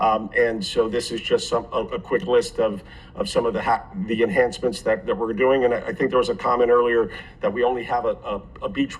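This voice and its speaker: Fairly quick speech from a man, with noticeable noise in the background. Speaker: private developer presenting a project. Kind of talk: public hearing presentation. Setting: city commission meeting. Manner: fast; halting, many fillers and repeats.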